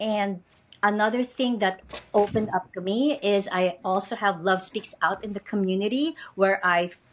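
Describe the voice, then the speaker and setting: A woman with a Filipino accent, medium pitch, ordinary pitch variation and a moderate pace. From Philippines. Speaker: educator and podcast host. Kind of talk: interview. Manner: hesitant with fillers.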